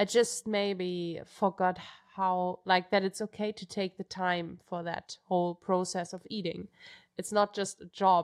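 A woman with a German accent speaks at a fairly slow pace in a medium pitch, her intonation monotone and flat but her loudness swinging widely. The sound is dry and close with no echo, on a very clean recording with a silent background. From Germany, Munich. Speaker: professional trail runner. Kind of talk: interview.

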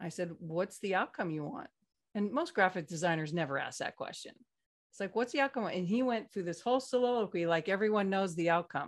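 Against a quiet background, a woman talks at a fairly quick pace in a plain, everyday voice, with a medium pitch and lively intonation. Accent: American. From California. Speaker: slide presentation designer. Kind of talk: casual chat.

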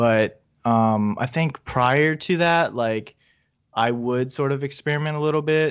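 An unremarkable speaking voice moves at a fairly slow pace with ordinary pitch variation and very even loudness over a quiet background. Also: man, fairly high pitch for a man. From Virginia, US. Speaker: toy photographer. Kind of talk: casual chat.

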